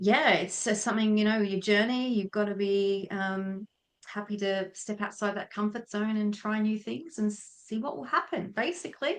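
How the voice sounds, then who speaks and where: Here a woman talks with an Australian accent. Her pitch sits in the medium range. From Tasmania, Australia. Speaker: feng shui consultant, former air force member. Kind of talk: podcast interview.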